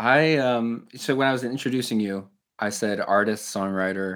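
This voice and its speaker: A man's ordinary speaking voice at a medium pitch, with an ordinary speaking voice and ordinary pitch variation. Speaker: podcast host. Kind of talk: casual interview. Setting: video call.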